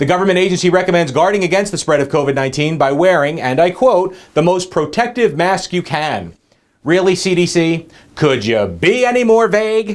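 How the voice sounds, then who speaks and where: This man talks fairly quickly in a high voice that swings very widely in pitch. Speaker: comedy news host. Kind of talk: comedic news monologue. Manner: very fast.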